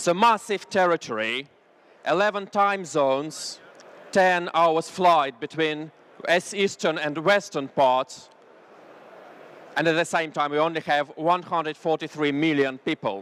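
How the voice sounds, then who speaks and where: Fairly slow speech in a Russian accent, with ordinary pitch variation and long, frequent pauses. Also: man, fairly high pitch for a man. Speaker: business consultant. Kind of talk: business presentation. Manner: halting, frequent uh fillers.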